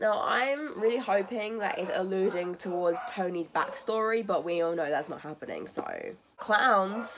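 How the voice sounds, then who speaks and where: A woman's medium-pitched voice with a British accent, at a moderate pace with ordinary pitch variation, against noticeable background noise. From Britain. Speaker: TV reaction youtuber. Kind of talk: casual reaction vlog. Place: home room. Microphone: phone near.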